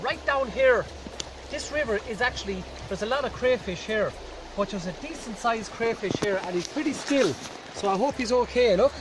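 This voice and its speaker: A man's extremely high voice at a fairly quick pace, with ordinary pitch variation and noticeable background noise. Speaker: bushcraft instructor. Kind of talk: outdoor tutorial. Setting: outdoors by a river. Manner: loud, shouting.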